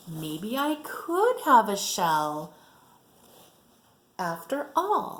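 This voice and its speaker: Using a put-on character voice, a woman speaks in a high pitch at a very slow pace, with very wide pitch swings and long, frequent pauses. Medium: read story. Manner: wide-eyed, eager.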